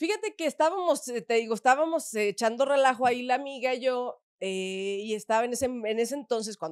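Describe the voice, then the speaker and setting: A fairly quick pace and ordinary pitch variation, against a quiet background, with a dry sound and no echo. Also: woman. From Mexico, León, Guanajuato; Guanajuato, Mexico. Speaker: adult content creator. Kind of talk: interview. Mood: relaxed, chatty, animated. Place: studio. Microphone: studio mic.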